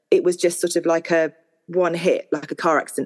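A woman's plain, everyday voice, fairly low in pitch and fairly quick, with a dry, close sound and no echo. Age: 40s. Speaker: artist and mother of four. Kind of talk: personal testimony in interview.

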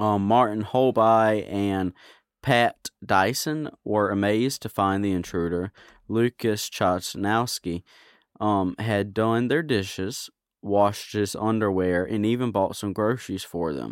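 A man's ordinary speaking voice, fairly low in pitch, fairly slow, with ordinary pitch variation and a dry, close sound with no echo. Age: 30s. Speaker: podcast co-host. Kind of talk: casual chat reading out odd news stories.

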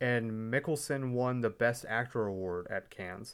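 A man with an American accent speaks fairly slowly at a medium pitch with ordinary pitch variation, in a very clean recording with a silent background. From Texas. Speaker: film podcast host. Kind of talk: casual chat.

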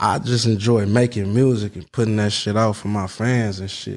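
Over a silent background in a very clean recording, a man speaks at a moderate pace. His pitch is medium, with ordinary variation. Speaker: rapper, musician. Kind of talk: casual interview chat.

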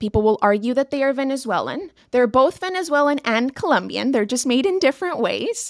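A woman speaks fairly quickly in a high, animated voice with lively intonation and hardly any pauses. The sound is dry and close, with no echo. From Asia (Singapore, Hong Kong, Shanghai) and Colombia. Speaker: recipe and curriculum manager. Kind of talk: interview.

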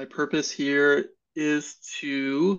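Pitched fairly high, a man's voice moves with ordinary pitch variation. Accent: American. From California. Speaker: medical student. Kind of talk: casual chat.

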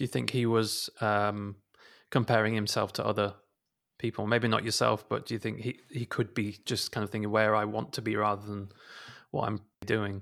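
A man talks at a moderate pace in a fairly low pitch. His intonation is monotone and flat, and the recording is very clean with a silent background. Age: 30s. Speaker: podcast host. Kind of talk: casual interview. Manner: hesitant, many fillers.

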